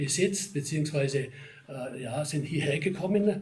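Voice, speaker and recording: With a Swabian accent, a man talks at a moderate pace in a fairly high pitch with ordinary pitch variation, over audible room echo and noticeable background noise. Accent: Swabian regional dialect. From Germany, Ostalbkreis area, Swabia. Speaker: local history society chairman, retired town official. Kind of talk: interview. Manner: conversational, with fillers.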